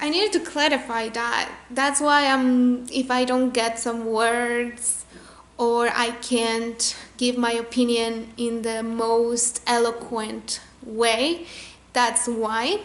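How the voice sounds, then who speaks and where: A woman with a high pitch speaks very slowly with fairly even intonation. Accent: Spanish. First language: Spanish. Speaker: chemical engineer reacting to a TV show. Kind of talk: casual vlog chat. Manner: halting, with self-corrections.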